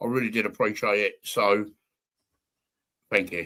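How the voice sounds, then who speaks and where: Talking at a moderate pace, a man with a southern English accent has a bright, sharp tone. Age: 60s. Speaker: football fan podcast guest. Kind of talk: casual chat.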